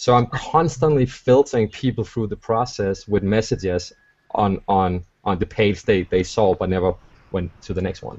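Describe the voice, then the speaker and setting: A man with a non-native accent talks at a moderate pace in a fairly low, somewhat breathy voice with ordinary pitch variation. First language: not English. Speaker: online marketer. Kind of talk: webinar panel discussion. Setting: video call.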